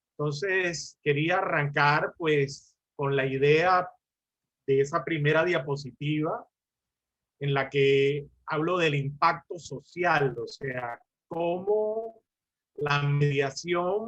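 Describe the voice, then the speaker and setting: Very slowly, a man speaks at a fairly high pitch. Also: ordinary pitch variation. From Colombia. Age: 60s. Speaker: lawyer and mediation lecturer. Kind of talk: lecture.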